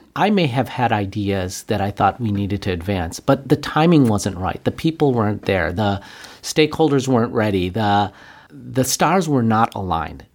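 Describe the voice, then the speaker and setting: Speaking at a moderate pace, a man uses lively intonation around a medium pitch. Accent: Western New York. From Buffalo, New York, US. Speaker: physician and healthcare executive. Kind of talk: interview.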